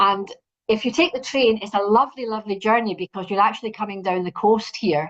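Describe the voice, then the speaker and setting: At a very fast pace, a woman speaks in a Scottish accent with ordinary pitch variation. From Scotland. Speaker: university representative. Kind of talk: presentation.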